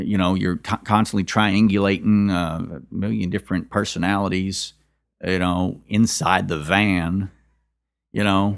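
In a Kentucky accent, a man speaks at a fairly slow pace with a very deep, low pitch and fairly even intonation. The recording is very clean with a silent background. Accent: Southern US, Kentucky. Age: 40s. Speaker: musician. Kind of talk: interview. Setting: host's living room. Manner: halting, many fillers.

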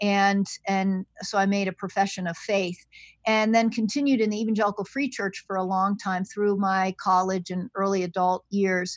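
A woman talks at a moderate pace with a medium pitch and fairly even intonation. The recording is very clean, with a silent background and a dry, close sound with no echo. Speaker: seminary provost and New Testament scholar. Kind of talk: interview conversation.

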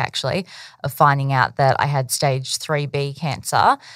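This woman has an Australian accent. Her voice is very deep and low in pitch. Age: 30s. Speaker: business owner. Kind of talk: interview. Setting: podcast interview. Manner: casual, with filler words.

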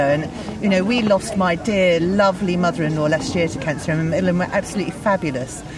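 Noticeable background noise runs under a woman's voice. She talks at a medium pitch with lively intonation. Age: 40s. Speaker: garden designer. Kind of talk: interview. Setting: outdoors at a flower show.

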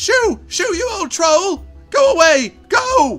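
Putting on a squeaky character voice at an extremely high pitch, a man speaks very slowly as faint music plays in the background. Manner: panicked, shouting.

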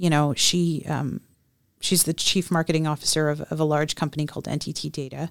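A woman speaks with an American accent at a very deep, low pitch. The recording is very clean with a silent background. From Texas. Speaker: nonprofit chamber of commerce president. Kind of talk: interview.

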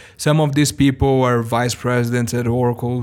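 A man speaks with a Brazilian accent at a medium pitch and a fairly quick pace. The recording is very clean, with a silent background. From Brazil (Sao Paulo). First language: Portuguese. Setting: recorded at a live event.

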